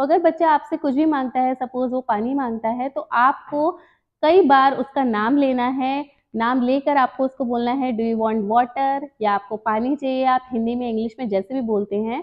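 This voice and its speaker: Against a quiet background, a woman talks at a high pitch and a fairly slow pace, with ordinary pitch variation. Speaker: presenter. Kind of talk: tutorial. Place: home room. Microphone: lapel.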